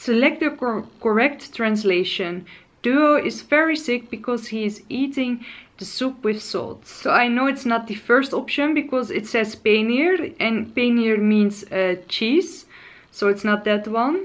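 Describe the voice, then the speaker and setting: A woman with a Dutch accent speaks in a cheerful tone with lively intonation. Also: fairly slow pace. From Netherlands. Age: 20s. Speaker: lifestyle and beauty vlogger. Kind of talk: casual vlog tutorial. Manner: hesitant, frequent filler sounds; cheerful, laughs often. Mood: playful, hesitant when pronouncing. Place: home room.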